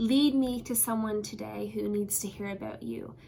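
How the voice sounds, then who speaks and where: A woman with a Newfoundland accent at a moderate pace. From Newfoundland, Canada. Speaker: pastor. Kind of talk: devotional talk.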